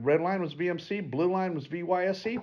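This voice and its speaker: A man talks with a high pitch while the background stays quiet. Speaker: flight instructor. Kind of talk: tutorial. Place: meeting room.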